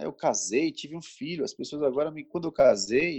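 A man's voice with very wide pitch swings and vocal fry. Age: 30s. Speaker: civil servant and youth leader. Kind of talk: casual chat. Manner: halting.

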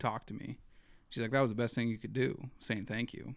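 A man talks with an American accent at a medium pitch. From Eastern Montana. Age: 20s. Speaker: artist and entrepreneur. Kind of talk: casual chat.

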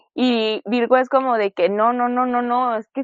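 In a Mexican accent, a woman speaks at a fairly high pitch. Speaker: podcast co-host. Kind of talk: casual chat. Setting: studio.

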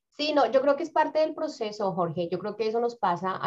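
A Bogotá accent with very wide pitch swings at a moderate pace. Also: woman. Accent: Bogotá Colombian Spanish. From Colombia, Bogotá. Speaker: community organization founder and career coach. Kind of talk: interview.

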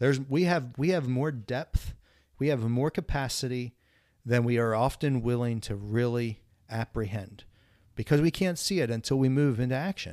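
Very clean recording and silent background, featuring a plain, everyday voice with ordinary pitch variation at a moderate pace. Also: man, medium pitch for a man. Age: 40s. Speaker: counseling professor and podcast host. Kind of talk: casual chat.

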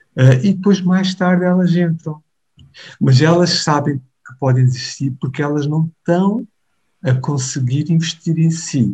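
A man's dark, mellow voice moves at a fairly slow pace. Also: fairly high pitch for a man, ordinary pitch variation. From Mozambique, Maputo. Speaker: pastor. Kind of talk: interview conversation. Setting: remote call.

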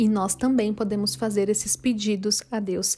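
Over noticeable background noise, a warm-toned voice proceeds at a moderate pace with fairly even intonation. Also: woman. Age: 20s. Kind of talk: devotional talk. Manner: warm, conversational.

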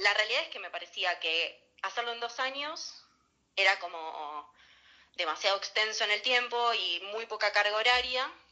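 Speaking in a Rioplatense accent at a moderate pace, a woman has a fairly high pitch. Her intonation is lively, with big swings in loudness. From Argentina, Buenos Aires northern suburbs. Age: 30s. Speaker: pastry chef. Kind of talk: interview.

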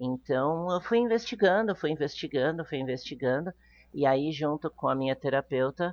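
Her intonation lively, a woman speaks in a very deep, low voice. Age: 30s. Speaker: non-monogamy influencer. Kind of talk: interview.

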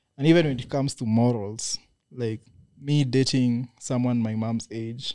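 Speaking with a Kenyan accent, a man uses a dark, mellow tone at medium pitch, with fairly even intonation and a moderate pace. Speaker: podcast co-host. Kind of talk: casual banter. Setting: studio.

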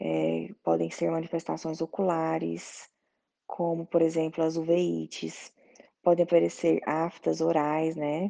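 Here a woman speaks at a very slow pace. The background is quiet. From Goiás, Brazil. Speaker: doctor, colorectal surgeon. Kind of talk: explanatory talk.

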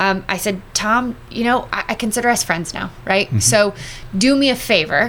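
A woman speaks in an ordinary speaking voice with an American accent. She keeps a moderate pace and ordinary pitch variation. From US West Coast, Los Angeles. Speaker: addiction recovery outreach worker, former broadcaster. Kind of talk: testimony.

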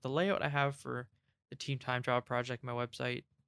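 A man speaks softly. His intonation is monotone and flat. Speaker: industrial design podcast co-host. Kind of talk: casual chat. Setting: online voice call. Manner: soft-spoken.

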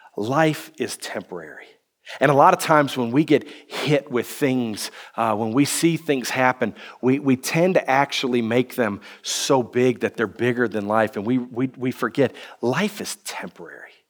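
In an American accent, a man uses a normal speaking voice at medium pitch, with ordinary pitch variation and a moderate pace. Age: 30s. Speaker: pastor. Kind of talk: sermon.

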